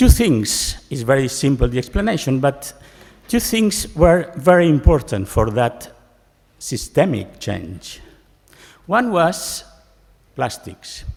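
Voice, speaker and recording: A man's very slow, fry-laden voice with very wide pitch swings and long, frequent pauses. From Spain, Barcelona. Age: 60s. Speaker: professor. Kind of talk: keynote speech. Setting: conference stage with audience. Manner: halting.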